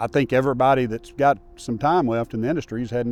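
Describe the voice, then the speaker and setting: Over music in the background, a man speaks very fast at a medium pitch with ordinary pitch variation. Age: 50s. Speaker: airline pilot. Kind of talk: interview testimony.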